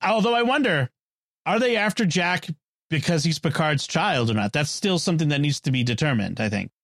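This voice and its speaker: At a fairly quick pace, a man with an American accent speaks at a fairly high pitch, swinging very widely, in a dry, close sound with no echo. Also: very even loudness, very clean recording, silent background. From US Northeast, Boston. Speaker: podcast host. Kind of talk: casual chat.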